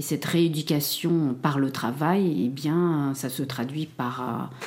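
Over noticeable background noise, a woman speaks very slowly with ordinary pitch variation. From Cambodia, raised in France from early childhood. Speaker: academic, genocide survivor. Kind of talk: testimony. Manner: halting, many repetitions and hesitations.

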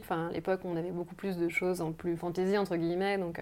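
Very fast speech from a woman at medium pitch. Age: 30s. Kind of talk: casual interview. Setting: at her home. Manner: hesitant.

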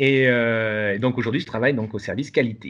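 A man talks at a moderate pace. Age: 40s. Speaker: salaried employee developing a side project. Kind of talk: interview conversation. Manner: hesitant, many fillers.

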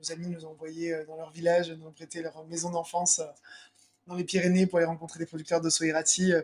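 In a monotone, flat delivery with big swings in loudness, a man speaks at a high pitch. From Provence, southern France. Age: 40s. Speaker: cheesemonger and business co-founder. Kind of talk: interview. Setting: in his cheese shop. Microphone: microphone problems during recording.

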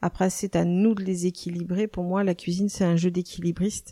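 The recording is very clean, with a silent background. A woman speaks at a fairly slow pace. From western France, Nantes. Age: 50s. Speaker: chef and restaurant owner. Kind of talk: interview. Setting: in her restaurant. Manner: hesitant, many fillers.

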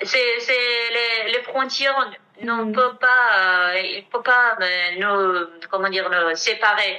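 A woman's fairly high voice in a Kurdish accent at a very slow pace. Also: ordinary pitch variation. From Iranian Kurdistan, Kermanshah. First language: Kurdish (speaking French). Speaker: singer. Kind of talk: interview testimony. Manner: halting.

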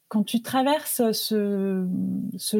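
Somewhat breathy and dark, mellow in tone, a woman's medium-pitched voice comes across dry and close with no echo. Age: 50s. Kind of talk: interview. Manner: hesitant, many filler words.

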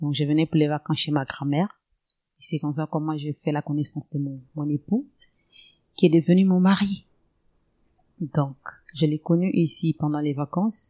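A woman speaks at a very deep, low pitch in a dark, mellow tone, at a moderate pace with long, frequent pauses. The sound is dry and close with no echo, against a quiet background. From Gabon. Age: 40s. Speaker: mother of eight. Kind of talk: personal testimony. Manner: halting.

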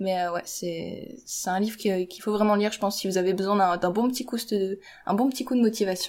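A woman speaks in an unremarkable speaking voice at a medium pitch and a fairly quick pace, with fairly even intonation. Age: 20s. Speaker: engineering student and YouTuber. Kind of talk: casual chat.

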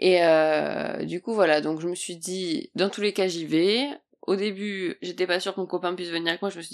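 At a moderate pace, a woman talks with a fairly low pitch. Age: 20s. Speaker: podcaster and new entrepreneur. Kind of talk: casual solo podcast monologue. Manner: animated.

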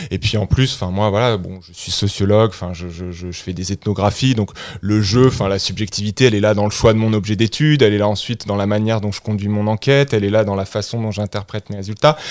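Speaking at a very fast pace with hardly any pauses, a man keeps a fairly low pitch and fairly even intonation. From France. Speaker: political science professor. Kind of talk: interview. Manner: halting.

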